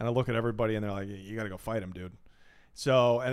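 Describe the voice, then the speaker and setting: A man with an American accent, very fast pace and ordinary pitch variation. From Portland, Oregon, US Pacific Northwest. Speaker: stand-up comedian. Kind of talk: casual chat.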